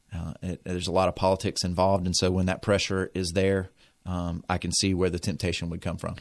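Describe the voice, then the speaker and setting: Very fast, flat, monotone speech with an American accent comes through on a very clean recording with a silent background. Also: man, very deep, low pitch for a man. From North Carolina. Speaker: high school teacher. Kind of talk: radio interview. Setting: radio studio.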